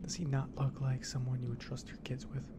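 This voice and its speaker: A man's soft-spoken whisper against loud background noise. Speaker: game streamer. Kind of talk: casual gaming commentary and reading quest text. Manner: soft ASMR whisper, joking aside. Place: home room.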